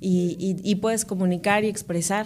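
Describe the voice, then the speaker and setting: A woman speaks with a Veracruz Mexican accent. Her intonation stays fairly even. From Mexico, Córdoba, Veracruz. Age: 30s. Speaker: radio presenter and reporter. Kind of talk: casual interview chat.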